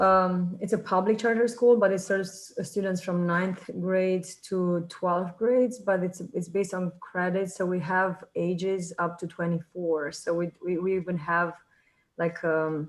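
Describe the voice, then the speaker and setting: Speaking with a Romanian accent, this voice moves at a fairly slow pace with fairly even intonation. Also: woman, medium pitch for a woman. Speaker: high school teacher. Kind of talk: self-introduction in online meeting. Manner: halting, many fillers.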